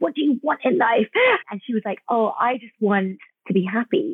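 This woman speaks with a British accent. Her voice is fairly high, with lively intonation. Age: 40s. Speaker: cosmetic dentist. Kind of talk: interview.

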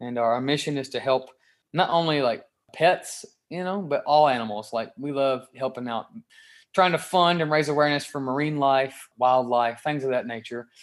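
In a Kentucky accent, the speaker talks at a moderate pace with ordinary pitch variation. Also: man, fairly high pitch for a man. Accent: Southern US (Kentucky). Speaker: rock guitarist. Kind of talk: interview.

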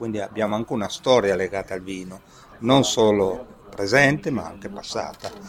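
With music playing in the background, a man talks at a fairly low pitch. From Piedmont, Italy (Asti area). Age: 50s. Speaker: mayor. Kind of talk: interview. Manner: halting.

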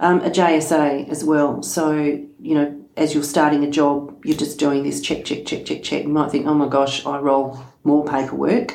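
A woman with a very deep, low voice at a fairly slow pace, with hardly any pauses and fairly even intonation, amid audible room echo and noticeable background noise. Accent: Australian. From Western Australia, rural wheatbelt. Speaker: farm safety organisation executive officer. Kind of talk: podcast interview.

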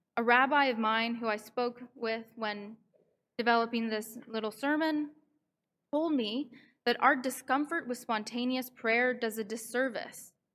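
A woman talks in an ordinary speaking voice at a moderate pace with fairly even intonation. The recording is very clean, with a silent background. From Canada, Vancouver. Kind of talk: sermon. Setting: synagogue service.

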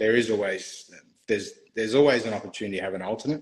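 A man with an Australian accent, a medium pitch and ordinary pitch variation. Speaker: barrister. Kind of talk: interview. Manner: halting.

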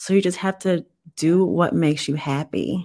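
In a very clean recording with a silent background, a woman with an American accent talks in a fairly low pitch, her intonation varying in an ordinary way. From US South, New Orleans. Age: 30s. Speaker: guest, software analyst. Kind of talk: personal testimony.

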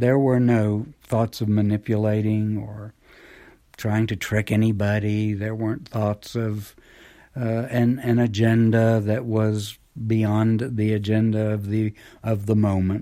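In a very clean recording with a silent background, a man talks at a fairly slow pace with flat, monotone intonation. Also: fairly low pitch for a man. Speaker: clinical psychologist. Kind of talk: lecture.

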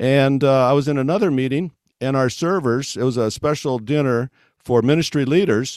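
A man with an American accent speaks in an ordinary speaking voice at a medium pitch and moderate pace, with ordinary pitch variation, on a very clean recording with a silent background and a dry, close sound with no echo. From West Africa (American missionary kid). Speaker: mission organization executive. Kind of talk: interview.

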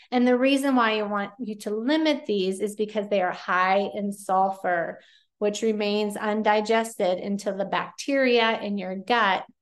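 A woman with an American accent speaks at a medium pitch and a moderate pace, with ordinary pitch variation. She has an ordinary speaking voice, heard against a quiet background. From Pennsylvania. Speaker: podcast host and nutrition coach. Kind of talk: solo podcast tips talk. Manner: casual, conversational.

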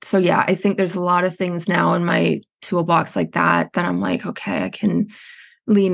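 A woman with a Western Canadian accent talks at a moderate pace against a quiet background. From Canada, Edmonton, Alberta. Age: 40s. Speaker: writing workshop founder in recovery. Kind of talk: personal story in interview.

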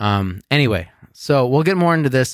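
A man speaks on a very clean recording with a completely silent background. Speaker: podcast host. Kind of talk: casual chat. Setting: drinking beer while recording. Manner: joking, laughs a lot.

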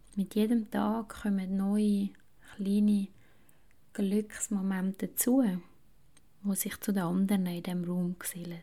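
A calm tone at a very slow pace, broken by long, frequent pauses. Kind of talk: guided meditation. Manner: slow, calm, soft-spoken, with long pauses.

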